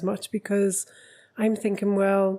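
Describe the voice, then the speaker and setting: Speaking at a fairly slow pace in a Geordie accent, a woman has a dark, mellow tone at a medium pitch with ordinary pitch variation. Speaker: relationship coach. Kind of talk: podcast conversation.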